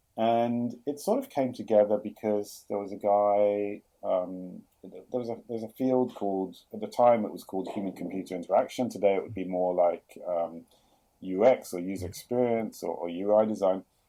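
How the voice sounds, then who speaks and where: With a London accent, a man talks at a moderate pace in a fairly low pitch, his intonation fairly even but his loudness swinging widely. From London, England. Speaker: chief product officer. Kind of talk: podcast interview. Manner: hesitant, many fillers and repeats.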